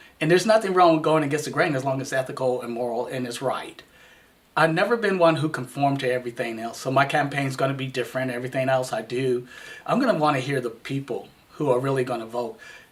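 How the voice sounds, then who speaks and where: Noticeable background noise is present. A man talks over it at a very fast pace. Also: medium pitch for a man, ordinary pitch variation. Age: 60s. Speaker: city council candidate. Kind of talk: campaign interview.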